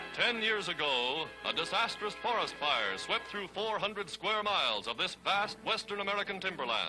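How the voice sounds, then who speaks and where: With music in the background, a man talks in a high voice with ordinary pitch variation. His pace is moderate, with hardly any pauses. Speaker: newsreel narrator. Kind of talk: wartime newsreel narration.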